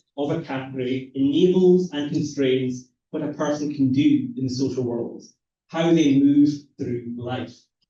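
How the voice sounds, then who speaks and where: A man with a Scottish accent speaks at a moderate pace in a fairly high pitch, his dark, mellow tone somewhat breathy, with audible room echo. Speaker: academic researcher. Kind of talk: lecture.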